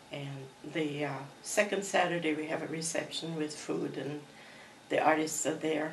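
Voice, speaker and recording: A woman with a very deep, low voice speaks at a moderate pace, monotone and flat, with long, frequent pauses. Audible room echo and noticeable background noise are present. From Croatia. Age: 80s+. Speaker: artist. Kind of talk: interview.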